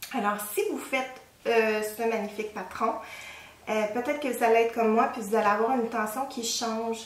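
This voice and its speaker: A woman's fairly high, monotone, flat voice with a Quebec accent, plus audible room echo and noticeable background noise. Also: moderate pace. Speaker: knitting podcaster. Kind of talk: casual show-and-tell talk. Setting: at home. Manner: hesitant, many fillers.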